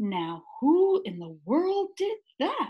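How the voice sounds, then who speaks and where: Speaking in a put-on character voice, a woman pitches it extremely high. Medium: read story.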